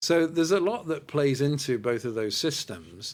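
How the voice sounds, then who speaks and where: A man speaks with a British accent. The recording is very clean, with a silent background. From Britain. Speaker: school education director. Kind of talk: podcast interview. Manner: articulate, explanatory.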